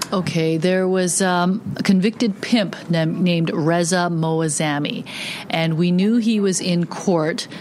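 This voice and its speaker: Over noticeable background noise, a woman with a fairly low pitch speaks with fairly even intonation. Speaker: news reporter. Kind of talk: casual recounting of stories.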